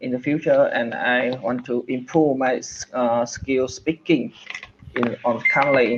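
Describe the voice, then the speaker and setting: A man's medium-pitched voice with a Vietnamese accent. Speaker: English learner. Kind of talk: one-on-one language lesson. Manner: halting, many fillers.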